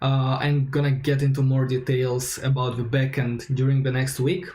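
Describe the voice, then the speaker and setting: A man's medium-pitched, monotone, flat voice in a non-native accent, at a moderate pace, over noticeable background noise. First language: not English. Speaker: software developer, coding streamer. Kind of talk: live coding tutorial stream. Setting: livestream. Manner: hesitant, many fillers.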